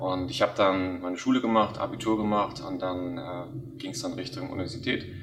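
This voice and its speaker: Noticeable background noise and audible room echo surround a voice that moves at a moderate pace with lively intonation and hardly any pauses. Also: man, fairly low pitch for a man. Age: 20s. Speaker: company founder. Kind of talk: interview. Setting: office.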